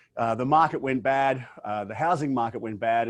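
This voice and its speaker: A man talks with an Australian accent. His pitch is medium, with ordinary pitch variation. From Australia, Brisbane, Queensland. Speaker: business owner and professional speaker. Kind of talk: interview. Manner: hesitant fillers.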